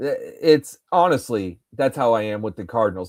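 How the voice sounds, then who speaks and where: On a very clean recording with a silent background, a man speaks at a moderate pace in a medium pitch with ordinary pitch variation. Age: 40s. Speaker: fantasy baseball live streamer. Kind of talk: casual chat. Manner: animated.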